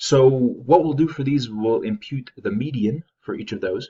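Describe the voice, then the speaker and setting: A man speaks at a moderate pace. His fairly high voice is somewhat breathy. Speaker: statistics instructor. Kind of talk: tutorial.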